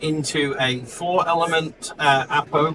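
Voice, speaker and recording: A man with a fairly high pitch talks while noticeable background noise carries on behind him. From New Zealand. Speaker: technical support engineer and astro imager. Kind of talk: product presentation. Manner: hesitant, many fillers.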